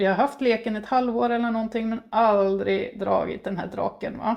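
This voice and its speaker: A woman's fairly even intonation at a moderate pace. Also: fairly high pitch for a woman. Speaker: tarot reader. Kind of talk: tarot reading. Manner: halting.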